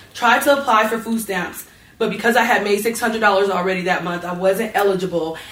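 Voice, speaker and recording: Over noticeable background noise, a woman with an American accent speaks at a fairly quick pace and medium pitch, with ordinary pitch variation. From North Las Vegas, Nevada. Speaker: local government official. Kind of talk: panel discussion. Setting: stage with audience.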